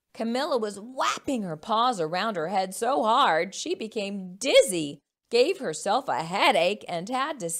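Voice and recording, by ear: Intonation is lively as someone is reading aloud in a natural voice. Little else can be heard, with a quiet background.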